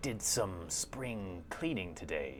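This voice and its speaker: Clear background noise sits behind a put-on character voice pitched low. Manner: imitating a voice actor's delivery.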